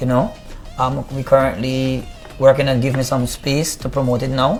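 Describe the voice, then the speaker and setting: With music in the background, a man speaks in a Guyanese accent with fairly even intonation. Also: medium pitch for a man, moderate pace. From Guyana, Buxton. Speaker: reggae artist. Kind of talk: interview.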